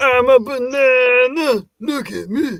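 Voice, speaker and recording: A put-on character voice with fairly high pitch, delivered at a fairly slow pace. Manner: playful, comic.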